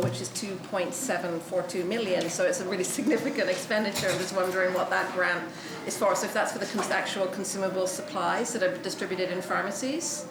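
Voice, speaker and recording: Someone speaks at a very fast pace amid noticeable background noise and audible room echo. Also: woman. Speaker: opposition legislator. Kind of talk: legislative committee questioning.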